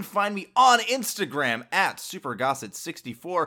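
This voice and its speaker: The recording is very clean with a silent background. A man speaks at a moderate pace in a bright, sharp tone, his pitch swinging very widely. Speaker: podcast host. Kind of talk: solo podcast commentary. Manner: casual, rambling.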